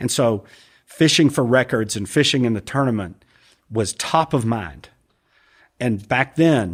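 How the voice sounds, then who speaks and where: In a very clean recording with a silent background, a man with an American accent talks in a normal speaking voice at a medium pitch, with ordinary pitch variation. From US, raised partly in London and Atlanta. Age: 60s. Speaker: angler and triathlete. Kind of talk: casual chat.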